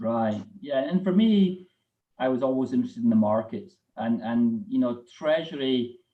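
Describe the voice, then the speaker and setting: With a Scottish accent, a man speaks at medium pitch, his voice swinging very widely in pitch. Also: moderate pace, very even loudness. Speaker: corporate treasurer. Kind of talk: live interview.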